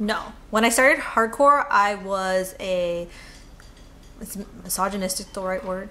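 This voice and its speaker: A woman with an American accent speaks at a fairly slow pace with long, frequent pauses and big swings in loudness, with audible room echo. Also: medium pitch for a woman, ordinary pitch variation. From California. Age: 20s. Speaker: interviewee, activist. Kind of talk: interview answers. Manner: hesitant, with fillers.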